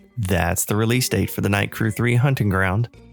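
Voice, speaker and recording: A man is speaking. Music plays in the background. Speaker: podcast host. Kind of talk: podcast intro.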